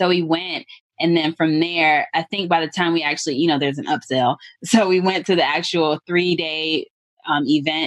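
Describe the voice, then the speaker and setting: An unremarkable speaking voice of a woman with an American accent, fairly low in pitch, at a moderate pace with fairly even intonation. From US South, Atlanta. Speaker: real estate investor. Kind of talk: interview.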